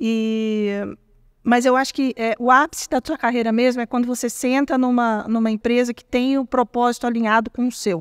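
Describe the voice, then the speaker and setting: Recorded dry and close with no echo, a woman talks at a moderate pace in a high voice. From Brazil, Minas Gerais (small town). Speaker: tech executive. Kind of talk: interview. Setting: at an event. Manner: animated.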